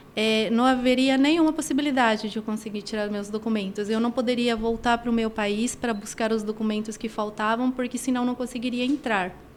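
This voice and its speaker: A woman with a plain, everyday voice talks at a fairly quick pace with hardly any pauses, her pitch fairly high and her intonation fairly even. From Argentina. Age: 50s. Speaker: women's personal development coach. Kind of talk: podcast interview, personal testimony.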